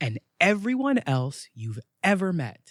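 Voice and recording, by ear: Putting on a character voice, a man talks high for his sex with big pitch swings, a fairly bright tone and a fairly slow pace, in a dry, close sound with no echo.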